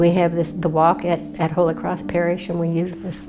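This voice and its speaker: A woman speaks with an American accent at a fairly slow pace. There is noticeable background noise. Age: 80s+. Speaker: retired nurse. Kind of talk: interview answer.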